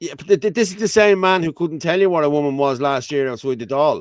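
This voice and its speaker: Talking at a very fast pace, a man with an Irish accent shows ordinary pitch variation. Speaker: talk show co-host. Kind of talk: casual panel chat. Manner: loud; animated.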